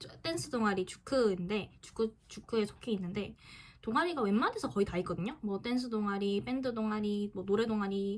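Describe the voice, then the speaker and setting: Her voice has a fairly high pitch for a woman and ordinary pitch variation. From Busan, South Korea. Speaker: student YouTuber. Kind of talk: casual Q&A vlog. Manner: halting.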